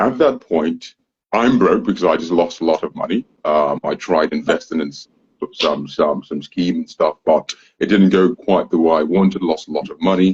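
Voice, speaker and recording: A man speaks at a moderate pace, his sound dry and close with no echo. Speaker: social media influencer. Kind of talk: interview answer.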